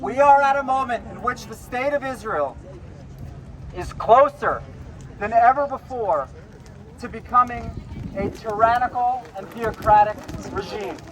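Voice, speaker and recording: A man with a New York accent at an extremely high pitch, with ordinary pitch variation, big swings in loudness, a fairly slow pace and long, frequent pauses over noticeable background noise. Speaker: protest activist. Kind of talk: rally speech. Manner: emphatic.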